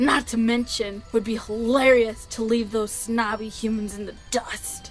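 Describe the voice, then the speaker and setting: With clear music in the background, a female-sounding put-on character voice speaks at a moderate pace and a fairly high pitch. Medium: dub. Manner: loud, eager.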